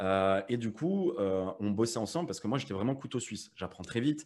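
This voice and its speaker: In a very clean recording with total silence behind him, a man talks. His delivery is moderately paced and his intonation is lively. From France, Metz (Lorraine). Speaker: affiliate marketing entrepreneur and coach. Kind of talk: casual interview chat. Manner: hesitant, many fillers and repetitions.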